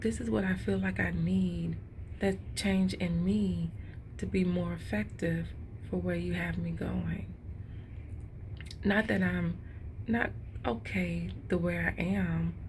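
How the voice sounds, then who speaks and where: A woman whispering with vocal fry, very slow and broken by long, frequent pauses, with audible room echo. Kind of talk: devotional vlog. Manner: casual, conversational.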